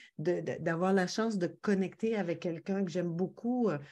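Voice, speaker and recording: A woman's dark, mellow voice at medium pitch with a Quebec accent, at a fairly slow pace. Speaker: podcast guest. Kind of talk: casual interview chat. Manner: hesitant, many fillers.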